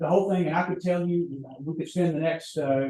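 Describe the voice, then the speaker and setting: A man with an American accent at a very fast pace, somewhat breathy with a dark, mellow tone and fairly even intonation, with audible room echo. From US South, North Alabama. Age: 70s. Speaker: seminar speaker. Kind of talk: lecture.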